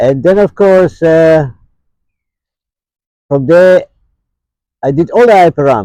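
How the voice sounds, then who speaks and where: A man's fairly high voice with a dark, mellow tone and lively intonation, at a very slow pace with long, frequent pauses. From South Africa, Cape Town (born Johannesburg). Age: 70s. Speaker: homeless can collector. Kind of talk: life story interview.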